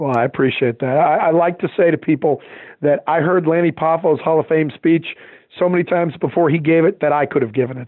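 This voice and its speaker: Speaking at a very fast pace, a man with an American accent keeps his fairly high pitch in fairly even intonation. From Boston. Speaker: wrestling fan and heel manager. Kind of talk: casual interview chat.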